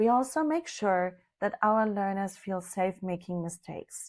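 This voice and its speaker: Speaking at a fairly slow pace with lively intonation, a woman talks with a German accent. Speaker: language teacher. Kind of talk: promotional explainer; tutorial.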